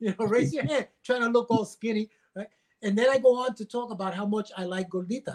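A man speaks with a high voice at a fairly quick clip. The sound is dry and close with no echo, and his pitch varies in an ordinary way. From Washington Heights, New York. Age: 60s. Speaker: stand-up comedian and joke writer. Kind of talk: casual chat interview. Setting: video call.

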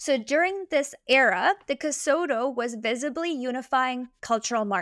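Recorded very clean against a silent background, with a dry, close sound and no echo, a woman with a high pitch and lively intonation speaks at a moderate pace with hardly any pauses. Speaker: podcast host. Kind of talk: casual chat.

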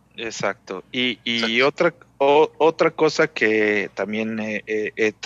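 His pitch is fairly low for a man. The tone is bright and sharp. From Mexico City. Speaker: experienced motorcyclist. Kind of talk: casual chat.

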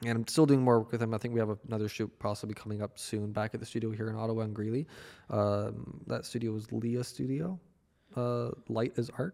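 In a Canadian accent, a man talks at a fairly quick pace and medium pitch with ordinary pitch variation, an ordinary speaking voice. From western Canada. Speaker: video editor and photographer. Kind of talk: casual chat.

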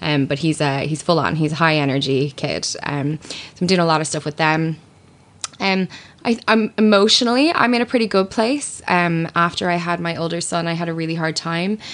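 The speaker talks at a moderate pace in an Irish accent, with ordinary pitch variation. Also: woman, fairly low pitch for a woman. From Ireland. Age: 30s. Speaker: radio presenter and writer. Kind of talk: casual chat.

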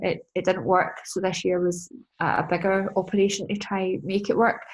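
A woman in a Scottish accent, medium pitch, fairly even intonation and a moderate pace. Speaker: business and mindset coach. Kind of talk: casual chat. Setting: video call. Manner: casual, sweary.

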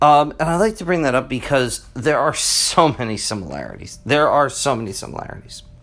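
Talking at a fairly quick pace with hardly any pauses, a man with a fairly high pitch shows vocal fry. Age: 40s. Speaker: history teacher and podcast host. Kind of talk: solo podcast monologue. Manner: casual with many fillers.

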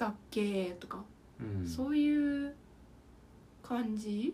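A woman speaks with very wide pitch swings. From Okayama, Japan. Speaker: podcast co-host. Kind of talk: casual chat.

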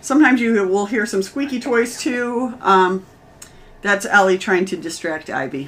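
A woman with an unremarkable speaking voice. Her pitch is medium and her pace is moderate. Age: 40s. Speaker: podcast host, cancer survivor. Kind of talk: casual chat.

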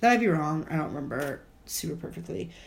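A woman talks at a fairly quick pace in an animated, somewhat breathy tone. Her pitch swings very widely, and the room gives an audible echo. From US Midwest. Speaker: podcast co-host, college student. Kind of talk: casual chat. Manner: animated, laughing often.

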